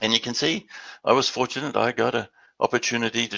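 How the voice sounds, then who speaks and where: Over a quiet background, a man speaks with an Australian accent. His tone is bright and sharp, with vocal fry. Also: dry, close sound with no echo. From Western Australia. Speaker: business development executive. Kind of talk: webinar presentation. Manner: halting, many repeated words.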